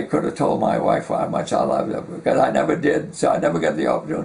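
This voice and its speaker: There is noticeable background noise behind the man speaking. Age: 90s. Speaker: war veteran. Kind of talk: oral history interview. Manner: halting.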